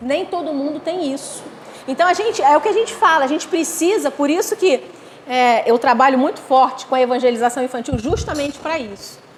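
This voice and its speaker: A woman's high, animated voice with lively intonation at a fairly quick pace, over noticeable background noise. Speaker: spiritist lecturer. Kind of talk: lecture.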